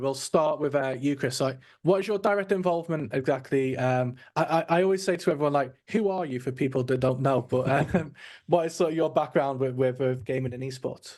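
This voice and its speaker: Against a quiet background, a man with a British accent talks at a fairly quick pace with ordinary pitch variation. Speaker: podcast host. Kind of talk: casual interview chat.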